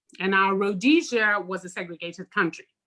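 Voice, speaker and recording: A woman's bright, sharp tone at a moderate pace, with a Zimbabwean accent. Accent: non-American accent, Zimbabwean. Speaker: podcast co-host. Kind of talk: casual chat.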